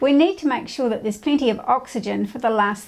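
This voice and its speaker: A woman's high pitch with ordinary pitch variation. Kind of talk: tutorial. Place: home room. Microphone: lapel.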